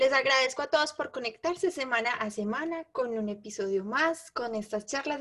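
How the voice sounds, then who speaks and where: A woman speaks at a high pitch. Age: 20s. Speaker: podcast co-host, entrepreneur and mother. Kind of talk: casual chat.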